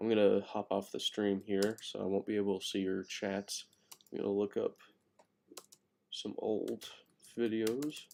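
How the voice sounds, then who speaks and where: A quiet man at a fairly slow pace, with long, frequent pauses. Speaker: gaming streamer. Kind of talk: live stream chat. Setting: home at night, late stream. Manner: quiet, subdued; casual, rambling.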